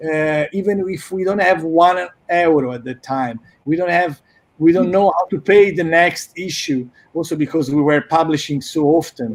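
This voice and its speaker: A man talks at a fairly slow pace in a fairly high pitch. His pitch varies in an ordinary way. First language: Italian. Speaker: magazine co-founder and director. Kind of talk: casual chat.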